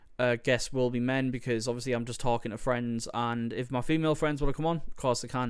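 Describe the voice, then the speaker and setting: With a Teesside accent, a man of medium pitch talks at a very fast pace with hardly any pauses and fairly even intonation. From northern England, Teesside (Stockton). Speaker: podcaster. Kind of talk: casual solo podcast monologue. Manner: hesitant, many fillers.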